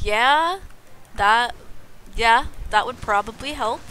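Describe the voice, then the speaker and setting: Noticeable background noise runs through the clip. A woman talks with ordinary pitch variation. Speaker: video game streamer. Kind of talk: casual chat. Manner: fast.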